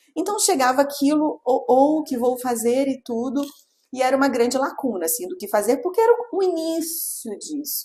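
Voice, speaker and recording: A woman's high voice with very wide pitch swings. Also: moderate pace. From Rio de Janeiro, Brazil. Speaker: pelvic physiotherapist. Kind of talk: interview. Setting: studio, in person.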